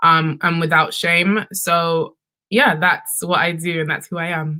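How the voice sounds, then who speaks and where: A woman's bright, sharp voice in a London accent at a fairly slow pace. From London, UK. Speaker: sex and relationships content creator. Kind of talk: panel discussion.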